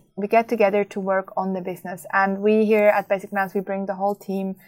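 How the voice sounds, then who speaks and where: A woman speaks at a medium pitch in a flat monotone. Music plays in the background. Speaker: business podcast host. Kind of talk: solo podcast monologue.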